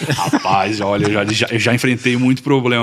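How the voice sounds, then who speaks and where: With a plain, everyday voice, a man talks at a fairly quick pace with fairly even intonation. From southern Brazil, Florianópolis, Santa Catarina. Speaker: missionary. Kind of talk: interview.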